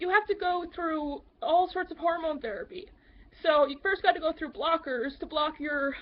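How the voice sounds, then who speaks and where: A woman is speaking here. Her pace is fairly quick. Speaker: advocate for transgender people. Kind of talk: casual talk to camera.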